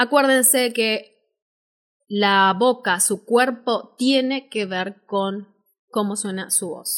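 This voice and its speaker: A woman's fairly high voice at a very slow pace, with ordinary pitch variation, in a very clean recording over a silent background. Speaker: voice-over artist and speaking teacher. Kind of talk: live-stream workshop talk.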